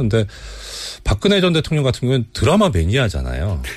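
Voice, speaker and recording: A man's very fast speech with vocal fry and very wide pitch swings. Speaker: former judge. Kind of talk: radio interview. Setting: studio. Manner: explanatory, formal.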